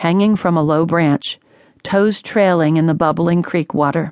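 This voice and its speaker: This is an unremarkable speaking voice from a woman with a fairly low pitch. She talks at a moderate pace. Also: dry, close sound with no echo, quiet background. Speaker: audiobook narrator. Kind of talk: dramatic audiobook narration of a first-person story. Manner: grave, measured and tense, hushed with suspense.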